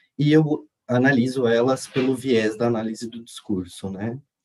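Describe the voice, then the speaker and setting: Here a man speaks at a moderate pace and a medium pitch. His tone is dark and mellow. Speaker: graduate student presenter. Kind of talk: conference presentation. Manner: halting, many fillers.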